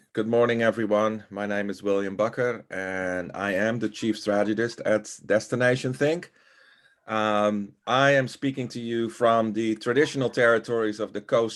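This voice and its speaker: In a Dutch accent, a man speaks at a moderate pace with a fairly low pitch and fairly even intonation, captured in a very clean recording with a silent background. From Netherlands. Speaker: tourism strategy consultant. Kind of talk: workshop introduction.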